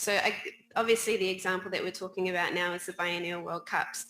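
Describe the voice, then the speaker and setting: Speaking at a very fast pace, a woman with a New Zealand accent has a bright, sharp tone, medium pitch and monotone, flat intonation. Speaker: players' union policy director. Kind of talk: panel discussion.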